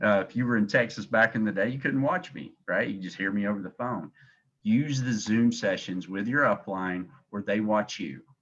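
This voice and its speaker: Here a man talks at a moderate pace with a fairly low pitch. His pitch variation is ordinary. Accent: Southern US. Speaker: insurance agency director. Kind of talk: sales training call. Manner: animated.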